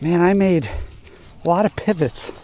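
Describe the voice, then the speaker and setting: Here a man speaks with a high pitch and ordinary pitch variation at a fairly slow pace. Noticeable background noise can be heard. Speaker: fishing video host. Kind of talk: casual vlog commentary while fishing. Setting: outdoors on a boat. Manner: excited exclamations; quiet, hushed.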